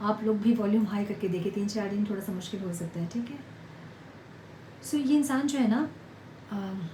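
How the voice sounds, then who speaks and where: Quiet and medium in pitch, a woman speaks with ordinary pitch variation and long, frequent pauses, with audible room echo and noticeable background noise. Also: moderate pace. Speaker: tarot reader. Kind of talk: tarot reading to viewers. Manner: quiet, low volume.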